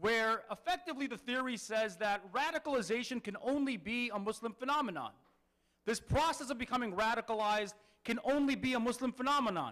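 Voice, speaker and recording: A fairly quick delivery with ordinary pitch variation and an American accent. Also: man, extremely high pitch for a man. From Detroit, US Midwest. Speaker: author and legal scholar. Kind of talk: public lecture. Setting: Islamic center with audience.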